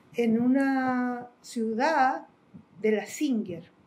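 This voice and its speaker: A woman's voice, high in pitch. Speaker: interviewee in documentary, exiled with the subject. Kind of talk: documentary interview, recollection.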